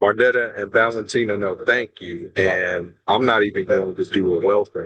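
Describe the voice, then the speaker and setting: A man with a normal speaking voice talks at a moderate pace, his fairly low pitch following fairly even intonation. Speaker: education official. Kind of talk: webinar remarks. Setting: video call from a plane.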